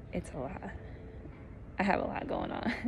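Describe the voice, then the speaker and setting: A somewhat breathy woman's voice. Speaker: flight attendant vlogger. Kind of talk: casual vlog. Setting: wearing a mask. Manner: animated.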